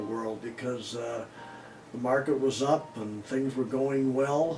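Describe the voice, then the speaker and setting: With an American accent, a man talks at a fairly slow pace amid audible room echo and music in the background. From US Midwest, Chicago. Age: 80s+. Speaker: interviewee telling life story. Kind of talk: autobiographical interview. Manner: halting, many fillers.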